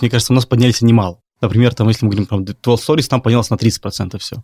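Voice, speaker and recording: This man's voice sits at medium pitch and moves very fast. The sound is close and dry, without any echo. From Belarus, Minsk. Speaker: clothing brand founder. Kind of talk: interview.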